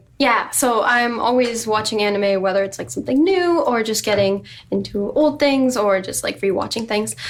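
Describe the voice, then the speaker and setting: With hardly any pauses, a woman with a fairly high pitch and ordinary pitch variation talks over noticeable background noise. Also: moderate pace. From Chile, then Maryland and Virginia from age nine. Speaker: cosplayer. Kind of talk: casual chat.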